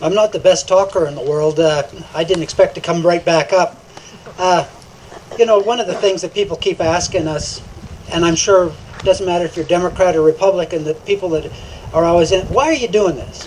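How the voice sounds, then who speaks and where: Speaking at a fairly quick pace, a man has a high pitch and ordinary pitch variation. Noticeable background noise is present. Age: 60s. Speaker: political candidate. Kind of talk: candidate forum speech. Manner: halting, many fillers.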